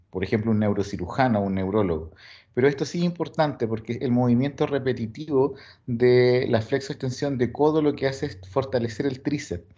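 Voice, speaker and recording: Dark, mellow male voice at medium pitch, fairly quick in pace, against a quiet background. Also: ordinary pitch variation. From Chile. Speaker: sports physiologist, coaching staff. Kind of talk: lecture.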